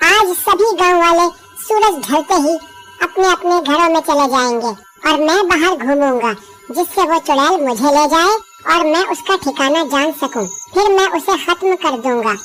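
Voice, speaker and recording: A cartoonish character voice speaks at a fairly slow pace. Faint music plays in the background. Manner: calm, authoritative.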